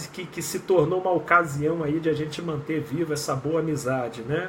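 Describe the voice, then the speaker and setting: Fairly even intonation and a moderate pace mark this ordinary speaking voice. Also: man. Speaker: clinical psychologist. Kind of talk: live stream chat. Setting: live video stream.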